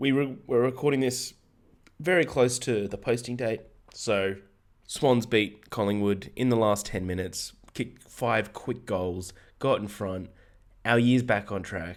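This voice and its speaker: A man's raspy, put-on character voice at medium pitch and a moderate pace. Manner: excited.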